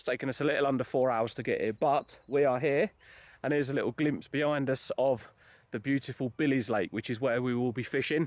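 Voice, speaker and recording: A man with an English accent talks at a very fast pace, his pitch fairly high. His pitch varies an ordinary amount, and the background is quiet. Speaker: fishing vlogger. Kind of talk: casual vlog narration. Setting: outdoors at a fishing lake.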